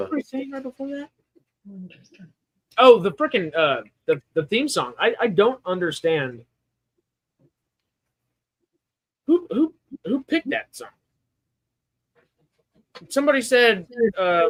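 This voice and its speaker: Speaking with an American accent, a man uses an extremely high pitch with very wide pitch swings, big swings in loudness and long, frequent pauses, in a dry, close recording with no echo. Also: fairly slow pace. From Texas.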